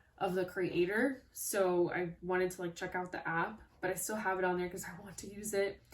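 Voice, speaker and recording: Against noticeable background noise, a woman speaks at a fairly quick pace and medium pitch with hardly any pauses, her intonation monotone and flat. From Honduras. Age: 20s. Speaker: college student, beauty and lifestyle vlogger. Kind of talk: casual talk to camera.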